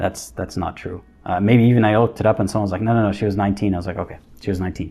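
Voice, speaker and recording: A man talks very fast at a fairly low pitch. His intonation stays fairly even, with music in the background. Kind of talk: casual livestream talk. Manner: stuttering, halting.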